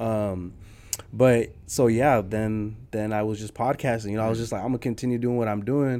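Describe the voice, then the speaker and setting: A dark, mellow tone carries speech at a moderate pace with fairly even intonation. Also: man, medium pitch for a man. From San Jose, California (South side), Nicaraguan-American. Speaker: entrepreneur. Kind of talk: interview.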